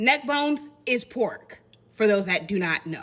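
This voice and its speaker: A woman with an American accent speaks in a bright, sharp tone, her pitch swinging very widely. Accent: country-sounding. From Indiana, US Midwest with Southern family roots. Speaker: content creator. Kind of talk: casual commentary video.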